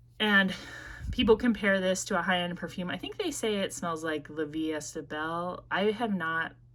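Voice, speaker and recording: She speaks with a Midwestern accent at a moderate pace. Her medium-pitched voice has lively intonation. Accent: Midwest US. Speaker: perfume reviewer. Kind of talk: casual review vlog. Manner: casual, frequent fillers.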